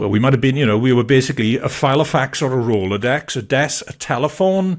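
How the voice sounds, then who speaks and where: Delivered at a fairly quick pace, the speech comes through a very clean recording with a silent background. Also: man. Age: 60s. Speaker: podcast host. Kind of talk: casual interview. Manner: hesitant, with fillers.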